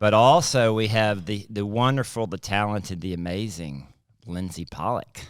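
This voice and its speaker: The recording is very clean, with a silent background. A man speaks with a Southern US accent at a fairly low pitch. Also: ordinary pitch variation, moderate pace. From South Mississippi. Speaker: pastor and podcast co-host. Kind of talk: casual chat.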